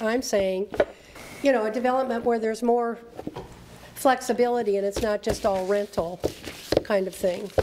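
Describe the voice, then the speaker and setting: A woman with a fairly high pitch speaks at a moderate pace, with fairly even intonation and long, frequent pauses. Noticeable background noise is present. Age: 70s. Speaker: planning commission member. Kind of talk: public meeting discussion.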